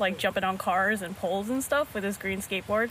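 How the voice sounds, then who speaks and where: An ordinary speaking voice from a woman with an American accent, fairly high in pitch, with ordinary pitch variation. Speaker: skateboarder. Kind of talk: interview. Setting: outdoors.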